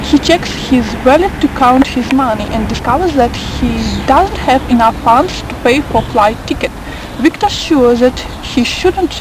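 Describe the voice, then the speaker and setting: A voice at a moderate pace with ordinary pitch variation, set against noticeable background noise. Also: woman. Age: 20s. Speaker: journalism student. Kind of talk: reading aloud. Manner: hesitant, many fillers.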